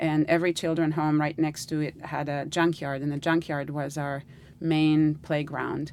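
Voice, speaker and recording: A woman speaks at a very deep, low pitch. Her intonation is monotone and flat, at a moderate pace. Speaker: artist. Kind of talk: interview. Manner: halting.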